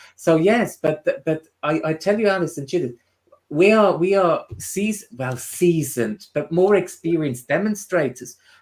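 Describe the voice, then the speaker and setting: The speaker talks at a fairly slow pace with a Swiss German accent. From Switzerland, Swiss German part. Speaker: spiritual medium and tutor. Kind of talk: casual chat. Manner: halting.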